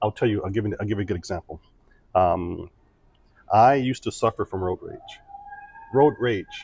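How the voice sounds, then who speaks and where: The speaker has a Midwestern accent and ordinary pitch variation, with a moderate pace broken by long, frequent pauses. The sound is dry and close with no echo, over noticeable background noise. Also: man, fairly low pitch for a man. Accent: American Midwest. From US Midwest, Joliet, Illinois. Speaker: former military diplomat, entrepreneur. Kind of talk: interview conversation.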